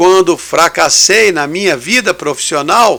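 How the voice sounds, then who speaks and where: Speaking high for a man, he lets his pitch move with ordinary variation. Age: 60s. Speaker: radio host and lay preacher. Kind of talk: radio devotional talk.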